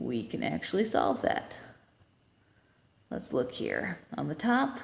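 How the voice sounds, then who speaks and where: A woman speaks at a very slow pace. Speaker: engineering tutor. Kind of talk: tutorial.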